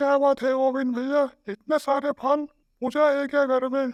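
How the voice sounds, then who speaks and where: A cartoonish character voice sits at a high pitch. Its intonation stays monotone and flat. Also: moderate pace. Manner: friendly, chatty.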